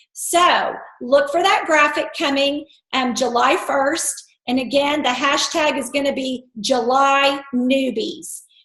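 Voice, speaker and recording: A woman's high voice, very slow, with ordinary pitch variation and audible room echo. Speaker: network marketing team leader. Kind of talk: team conference call. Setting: conference call.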